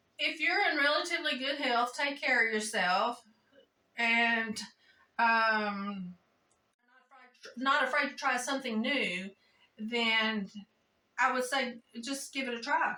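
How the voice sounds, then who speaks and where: A woman talks very slowly in a high pitch with a bright, sharp tone. Long pauses come often. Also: ordinary pitch variation. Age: 60s. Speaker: jiu-jitsu practitioner. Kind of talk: interview answer.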